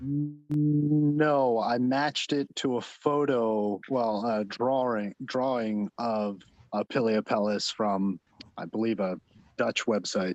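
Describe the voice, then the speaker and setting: Speaking very slowly with a New Jersey accent, a man keeps a medium pitch, ordinary pitch variation and very even loudness, the sound dry and close with no echo against a quiet background. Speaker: mycology club member presenting finds. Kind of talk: show-and-tell presentation on video call. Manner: mumbling.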